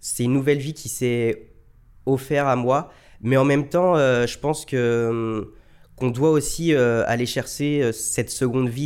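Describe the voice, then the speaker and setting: At a moderate pace, the speaker keeps the intonation fairly even. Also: man. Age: 20s. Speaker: lung transplant recipient and marathon runner. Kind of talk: testimony. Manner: hesitant, many fillers.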